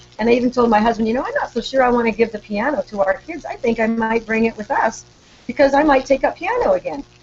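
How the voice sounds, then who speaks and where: The talking runs at a very fast pace with ordinary pitch variation. Noticeable background noise is present. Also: woman, high pitch for a woman. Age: 60s. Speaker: author and retired teacher. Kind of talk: interview.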